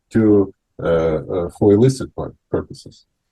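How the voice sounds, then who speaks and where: Lively in his intonation, a man speaks with a dark, mellow tone that is somewhat breathy. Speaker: talk show host. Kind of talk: panel discussion. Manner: halting.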